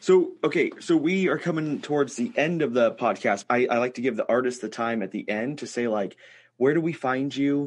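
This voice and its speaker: A man with an unremarkable speaking voice talks at a moderate pace over a quiet background. His pitch is fairly high, with ordinary pitch variation. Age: 30s. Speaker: podcast host, toy maker. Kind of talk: casual chat.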